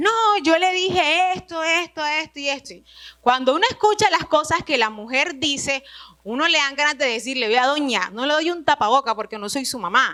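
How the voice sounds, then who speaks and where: Using a raised, projected voice, a woman with a high pitch speaks at a moderate pace with lively intonation. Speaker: retreat speaker. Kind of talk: religious retreat talk.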